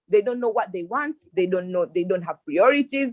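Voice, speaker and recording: The speaker has an East African accent and ordinary pitch variation. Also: woman, dry, close sound with no echo. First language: Swahili. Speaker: youth panelist. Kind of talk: panel discussion. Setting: online video call. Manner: halting, many repetitions.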